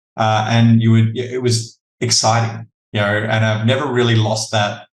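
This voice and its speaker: With an Australian accent, a man talks at a moderate pace in a somewhat breathy voice with monotone, flat intonation. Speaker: talent acquisition leader. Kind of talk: podcast interview.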